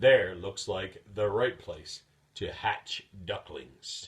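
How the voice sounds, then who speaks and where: A man puts on a character voice and speaks at a very slow pace. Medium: read story. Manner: particular, worried.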